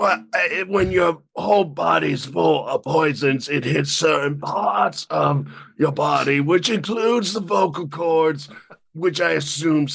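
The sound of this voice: A man talks at a fairly slow pace in a raspy, put-on character voice. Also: fairly high pitch for a man.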